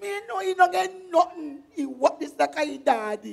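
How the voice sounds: A put-on character voice with vocal fry moves at a moderate pace with lively intonation. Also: woman, high pitch for a woman.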